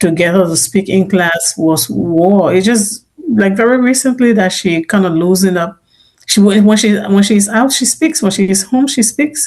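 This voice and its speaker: A woman with an African accent speaks at a moderate pace and a medium pitch. Her voice is somewhat breathy, with lively intonation and very even loudness. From Liberia. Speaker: immigrant author, interviewee. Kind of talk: interview testimony. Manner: halting, many repeated words.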